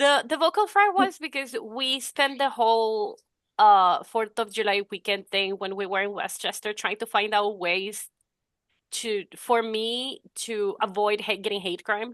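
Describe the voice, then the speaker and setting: Speaking with a non-native accent, a woman has a fairly high pitch and ordinary pitch variation. The sound is dry and close with no echo, over a quiet background. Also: fairly slow pace. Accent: noticeable non-native English. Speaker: podcast co-host. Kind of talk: casual chat.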